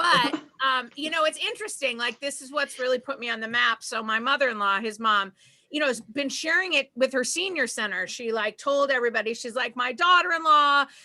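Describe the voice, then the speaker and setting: A woman's raised, projected voice in a Boston accent, high-pitched and bright and sharp in tone, with lively intonation at a fairly quick pace over a quiet background. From Boston area, Massachusetts. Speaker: stand-up comedian. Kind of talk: stand-up.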